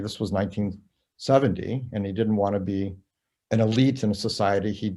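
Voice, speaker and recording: A dark, mellow tone with fairly even intonation, in a very clean recording with a silent background. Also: man. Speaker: documentary filmmaker and professor. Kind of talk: interview. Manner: hesitant, many fillers.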